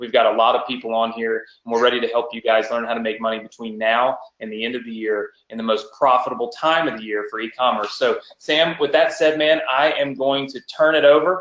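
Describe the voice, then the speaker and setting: The tone is energetic and excited, with big swings in loudness and ordinary pitch variation. There are hardly any pauses. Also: man, medium pitch for a man, fairly quick pace. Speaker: online marketing coach. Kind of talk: webinar presentation. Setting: live webinar with chat. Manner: energetic, excited.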